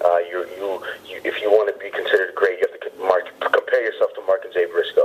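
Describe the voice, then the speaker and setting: Over noticeable background noise, a man talks at a very fast pace with big swings in loudness. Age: 30s. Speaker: pro wrestler. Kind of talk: interview. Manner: halting.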